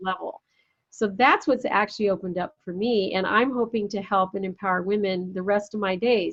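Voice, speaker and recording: A woman talks at a fairly quick pace in an ordinary speaking voice. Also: medium pitch for a woman, fairly even intonation. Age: 60s. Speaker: entrepreneur and women's summit founder. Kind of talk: interview conversation.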